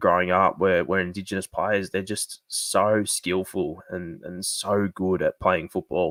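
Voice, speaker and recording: With an Australian accent, the speaker talks at a fairly slow pace in a monotone, flat intonation, the sound dry and close with no echo on a very clean recording with a silent background. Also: man. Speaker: sports fan streamer. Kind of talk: live stream fan discussion. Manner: quieter than usual; casual, filler-heavy.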